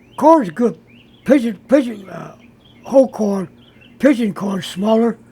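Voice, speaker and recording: A man with high pitch and ordinary pitch variation at a very slow pace, with noticeable background noise. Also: big swings in loudness. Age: 80s+. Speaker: racing pigeon fancier, former bull rider. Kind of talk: interview answer. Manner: terse.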